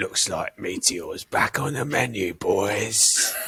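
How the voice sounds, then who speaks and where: In a raspy, put-on character voice, a man speaks at a fairly slow pace. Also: medium pitch for a man. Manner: jocular.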